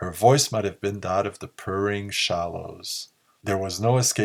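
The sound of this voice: The voice is an unforced reading voice.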